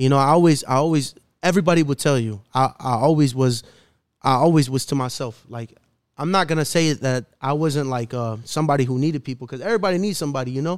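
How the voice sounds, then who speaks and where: Talking at a very fast pace with ordinary pitch variation, this speaker has a Chicago urban accent on a very clean recording with a silent background. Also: man, fairly high pitch for a man. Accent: Chicago urban American English. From Chicago, north side. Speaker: rapper. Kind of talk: casual chat. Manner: animated.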